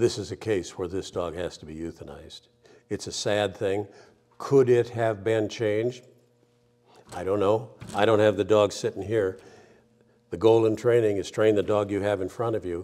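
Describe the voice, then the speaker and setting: At a moderate pace, a man with a fairly low, dark and mellow voice keeps a fairly even intonation, leaving long, frequent pauses while his loudness swings widely. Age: 70s. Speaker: dog trainer. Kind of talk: monologue commentary.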